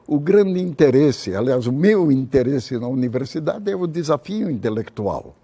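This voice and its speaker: Very wide pitch swings run through this man's fairly high-pitched voice, which has a dark, mellow tone. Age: 80s+. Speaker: retired physics professor. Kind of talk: interview. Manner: halting.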